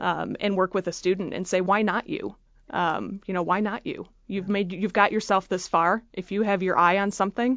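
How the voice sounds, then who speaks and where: A woman with an Upper Midwest US accent, at a moderate pace and with ordinary pitch variation. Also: medium pitch for a woman. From Michigan, Freeland (near Saginaw). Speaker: university alumni association leader, engineer. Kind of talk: interview. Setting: studio.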